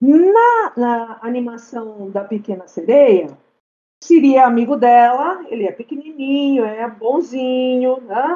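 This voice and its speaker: A woman's high voice at a very slow pace, with lively intonation and big swings in loudness. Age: 50s. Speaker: podcast guest. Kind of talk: casual chat.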